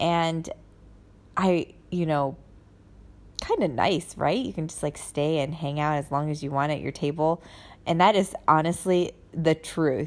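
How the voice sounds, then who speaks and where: Her very deep, low voice moves at a fairly slow pace, as the woman uses ordinary pitch variation and long, frequent pauses. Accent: American. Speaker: podcast host, military spouse living abroad. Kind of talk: casual monologue. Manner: chatty, with frequent fillers.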